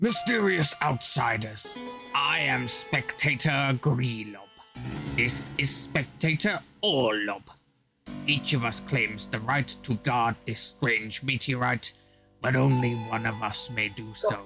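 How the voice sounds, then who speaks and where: A man's put-on character voice at a medium pitch and fairly slow pace, over faint music in the background. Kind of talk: solemn, formal address. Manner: formal, otherworldly.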